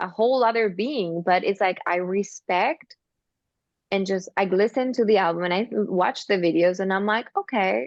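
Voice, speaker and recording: The speaker talks at a moderate pace with a non-native accent and ordinary pitch variation. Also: woman. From Argentina, small town. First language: Spanish. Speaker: singer and actress. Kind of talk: casual interview chat.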